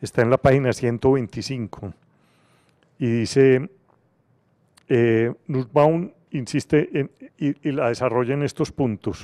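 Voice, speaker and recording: A man with a dark, mellow tone speaks at a very slow pace, with long, frequent pauses. His pitch variation is ordinary, and the background is quiet. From Colombia. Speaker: university rector. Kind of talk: panel discussion. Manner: halting, many fillers. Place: classroom. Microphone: handheld.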